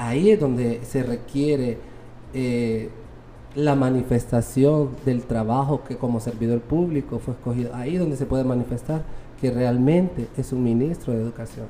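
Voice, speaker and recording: A man with a Honduran accent, medium in pitch, at a moderate pace with fairly even intonation. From Honduras, Tegucigalpa. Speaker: robotics coach at a children's center. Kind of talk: interview.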